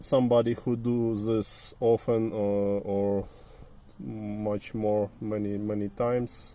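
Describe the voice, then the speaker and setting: Speaking very slowly, a man uses a medium-pitched voice with a dark, mellow tone. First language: Ukrainian/Russian. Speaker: car mechanic. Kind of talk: tutorial. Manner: halting.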